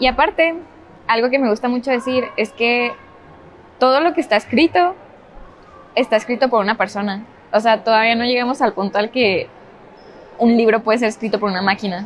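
Speaking at a fairly quick pace with ordinary pitch variation, a woman with a fairly high voice leaves long, frequent pauses. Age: 20s. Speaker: book video creator and writer. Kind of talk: casual chat. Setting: public place, shopping mall.

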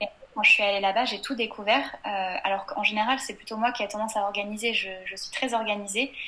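Over noticeable background noise, a woman talks at a fairly quick pace with fairly even intonation and big swings in loudness. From western France, Angers. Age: 20s. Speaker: blogger. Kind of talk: casual interview. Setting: video call.

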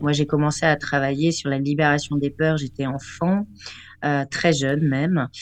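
A woman's very deep, low voice, fairly slow, with monotone, flat intonation. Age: 40s. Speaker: vocal art therapist. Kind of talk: radio chronicle and advice; reading aloud.

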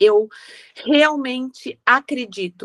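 Dry and close with no echo, a woman speaks with ordinary pitch variation. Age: 50s. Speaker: wedding decorator. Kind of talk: interview.

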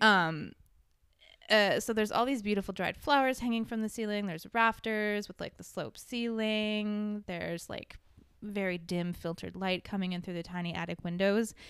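Talking at a moderate pace, a woman with an unremarkable speaking voice keeps a medium pitch and ordinary pitch variation. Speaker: guest, host's sister. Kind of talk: casual chat.

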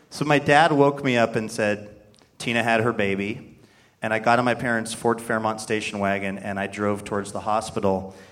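Speaking at a moderate pace in an unremarkable speaking voice, a man with an American accent keeps a medium pitch and fairly even intonation on a very clean recording with a silent background. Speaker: radio host. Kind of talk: live radio show hosting. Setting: theater stage with audience.

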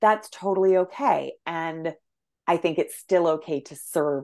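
A woman with a plain, everyday voice talks at a fairly low pitch. Her pitch varies in an ordinary way over a quiet background. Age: 40s. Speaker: naturopathic doctor. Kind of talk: casual chat.

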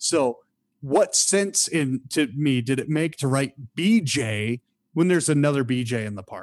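Speaking with an American accent, a man with an ordinary speaking voice goes at a fairly slow pace and fairly high pitch with lively intonation, in a dry, close sound with no echo. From Michigan. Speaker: former theme park performer and hotel manager. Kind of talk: casual interview storytelling.

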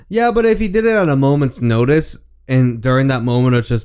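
Speaking fairly quickly, a man uses ordinary pitch variation. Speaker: podcast host doing movie commentary. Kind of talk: casual movie commentary chat. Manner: loud; animated.

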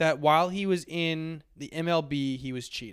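On a very clean recording with a silent background, a man with a high voice talks at a fairly slow pace. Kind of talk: casual sports podcast banter.

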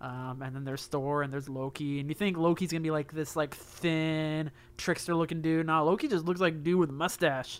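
A normal speaking voice carries the words at a fairly quick pace. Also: man, fairly high pitch for a man, fairly even intonation, hardly any pauses, very clean recording, silent background. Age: 30s. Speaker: video game podcast co-host. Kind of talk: casual chat.

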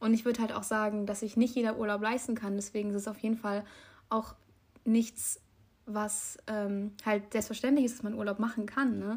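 A woman's somewhat breathy, fairly high voice at a moderate pace, with monotone, flat intonation. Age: young. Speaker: podcast co-host. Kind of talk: casual chat.

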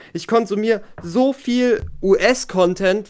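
A man speaks with ordinary pitch variation. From Germany. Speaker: podcast guest. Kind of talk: casual chat.

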